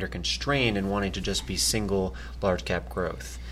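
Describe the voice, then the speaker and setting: A man keeps a moderate pace, vocal fry showing in his voice. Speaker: investment analyst. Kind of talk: casual market commentary podcast.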